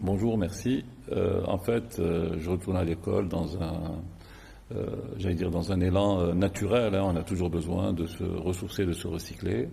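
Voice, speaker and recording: A man's very deep, low voice, somewhat breathy, with a dark, mellow tone, fairly even intonation, a fairly slow pace and audible room echo. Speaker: insurance company executive. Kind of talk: TV interview. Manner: halting, many hesitations.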